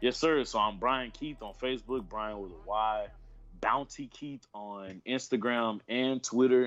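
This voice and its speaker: A man with a Texan accent speaks at a fairly slow pace and medium pitch, with ordinary pitch variation and big swings in loudness. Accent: Texan (US South). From Houston, Texas. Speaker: professional wrestler. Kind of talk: casual interview.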